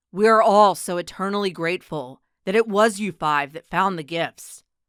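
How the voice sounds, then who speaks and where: A put-on character voice, resonant and at a middle pitch, moves at a moderate pace with lively intonation. The recording is very clean, with a silent background. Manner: grave, strong.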